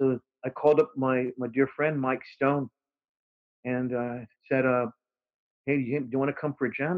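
Medium in pitch, a man speaks with an American accent. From Texas. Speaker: musician. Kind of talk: casual chat. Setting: video call.

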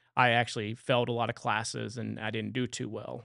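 A man with a slight Louisiana accent, medium pitch, bright, sharp tone, and vocal fry, in monotone, flat intonation at a moderate pace against a quiet background. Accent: Southern Louisiana accent, slight. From southwest Louisiana, near Lake Charles. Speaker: factory supervisor and chemistry student. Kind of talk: casual interview. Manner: halting, many fillers.

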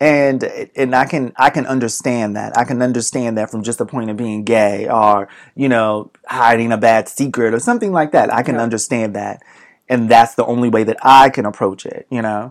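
In a very clean recording with a silent background, a man with an American accent and an ordinary speaking voice talks at a moderate pace, his medium pitch carried by fairly even intonation. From Boston. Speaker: podcast co-host. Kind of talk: casual chat.

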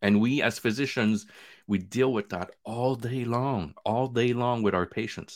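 In a very clean recording with a silent background, a man with a plain, everyday voice speaks at a medium pitch. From Quebec, Canada (born in Vietnam). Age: 40s. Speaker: physician and podcast host. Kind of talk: casual interview chat.

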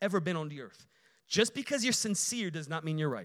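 This man has an American accent and very wide pitch swings. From Chicago, Illinois (Romanian family). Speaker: guest preacher. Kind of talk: sermon. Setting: church.

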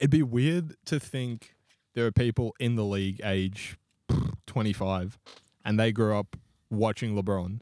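Fairly slow and marked by long, frequent pauses, a man with an Australian accent speaks in a fairly low, dark, mellow voice with ordinary pitch variation, the sound dry and close with no echo. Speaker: podcast co-host. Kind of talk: casual chat.

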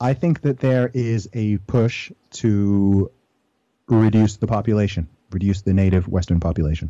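A man with an American accent speaks at a fairly low pitch in a dark, mellow tone, with ordinary pitch variation and very even loudness. His pace is moderate, and the background is quiet. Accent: sounds American. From Saudi Arabia and UK, Nigerian family. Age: 30s. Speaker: rapper and weightlifter. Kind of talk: interview.

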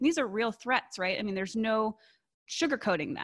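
A woman's ordinary speaking voice at medium pitch, with lively intonation, in a very clean recording with a silent background. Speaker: AI ethics and surveillance technology expert. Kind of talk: interview. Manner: casual, uses fillers.

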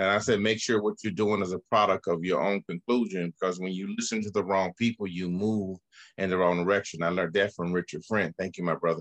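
Speaking very fast in a very deep, low pitch, a man with an American accent keeps his intonation fairly even in a dry, close sound with no echo. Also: quiet background. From US South, Birmingham, Alabama. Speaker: chess teacher and youth mentor. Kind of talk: interview.

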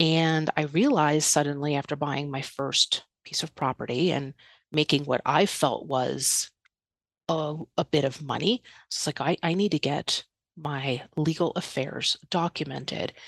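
Over a quiet background, a woman with a New York accent speaks at a very deep, low pitch with fairly even intonation in a dry, close sound with no echo. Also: fairly slow pace. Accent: New York area American. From New York area, US. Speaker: estate planning and digital organisation advisor. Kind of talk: podcast interview.

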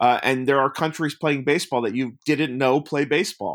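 On a very clean recording with a silent background, a man with an American accent and an unremarkable speaking voice talks at a fairly high pitch with fairly even intonation. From US Northeast, Long Island, New York. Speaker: documentary filmmaker. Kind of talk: casual interview.

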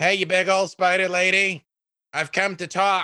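Putting on a character voice, a man speaks high-pitched and monotone, with flat intonation at a moderate pace. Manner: bold, calling out.

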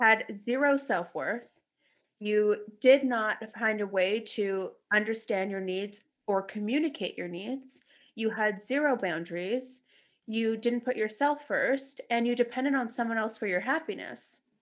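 A woman with an ordinary speaking voice and a Canadian accent, fairly high in pitch, at a fairly slow pace with ordinary pitch variation. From Canada, Toronto. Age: 30s. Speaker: podcast host. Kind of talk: casual chat. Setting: video call.

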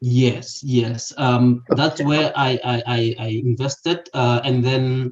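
A somewhat breathy man speaks at a very slow pace with hardly any pauses. His intonation is monotone and flat. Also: medium pitch for a man. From South Africa, Limpopo. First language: a South African language other than English. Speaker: property investor. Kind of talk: interview. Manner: halting, many fillers and repetitions.

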